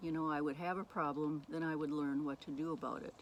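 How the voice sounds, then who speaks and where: This woman speaks with a very deep, low pitch. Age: 70s. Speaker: abuse survivor sharing her story. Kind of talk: personal testimony monologue. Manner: halting.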